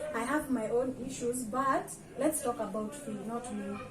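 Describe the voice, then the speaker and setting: A woman's fairly high voice with ordinary pitch variation is heard with noticeable background noise and audible room echo. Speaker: guest, content creator. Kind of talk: casual interview chat. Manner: loud; talkative, expressive.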